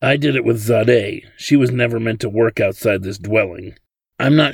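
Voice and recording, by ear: Natural-voiced reading aloud over a quiet background, the pitch varying in an ordinary way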